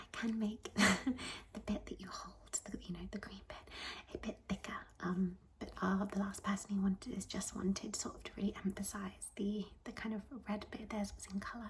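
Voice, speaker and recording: Noticeable background noise runs under the voice. The speaker keeps a moderate pace. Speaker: ASMR creator playing a tattoo artist. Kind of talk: ASMR tattoo studio roleplay, soft talking to the listener. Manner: soft-spoken, friendly, chatty.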